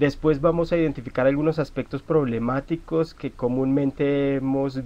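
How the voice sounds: This man talks at a moderate pace with a medium pitch, a dark, mellow tone and fairly even intonation.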